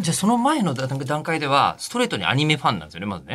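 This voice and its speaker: A man rattles along at a very fast pace, his pitch swinging very widely, with noticeable background noise behind him. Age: 40s. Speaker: radio host. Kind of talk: casual chat.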